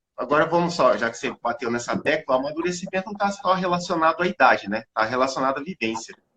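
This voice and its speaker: A fairly high-pitched man at a very fast pace with hardly any pauses, in a dry, close sound with no echo. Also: lively intonation. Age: 30s. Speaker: live stream host. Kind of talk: casual chat.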